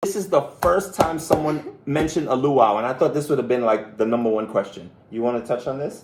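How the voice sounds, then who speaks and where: A man with a Belizean accent at a fairly quick pace, over noticeable background noise. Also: medium pitch for a man, lively intonation. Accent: Caribbean (Belizean). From Belize, Caribbean. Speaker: travel vlogger. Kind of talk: live stream chat. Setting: live stream. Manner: animated, excitable.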